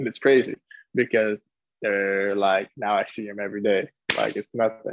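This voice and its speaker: Here is a man with an unremarkable speaking voice and an American accent. He talks at a moderate pace with a fairly low pitch. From California. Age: 20s. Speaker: professional soccer player. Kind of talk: interview.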